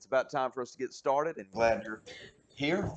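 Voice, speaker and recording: A man's hoarse, put-on character voice at a medium pitch and a fairly quick pace, with big swings in loudness. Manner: upbeat despite the voice.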